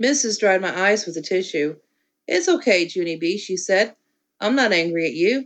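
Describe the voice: Against a quiet background, the plain reading aloud carries lively intonation.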